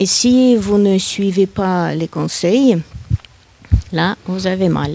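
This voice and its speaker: A woman with a Russian accent speaks very slowly in a medium pitch and a dark, mellow tone. Her pitch rises and falls in an ordinary way. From Russia, Saint Petersburg. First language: Russian (speaking French). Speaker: guest speaker. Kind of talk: panel discussion.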